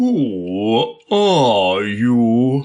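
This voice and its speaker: The speaker uses a put-on character voice. The pitch sits in the low-to-middle range. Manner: languid, sleepy.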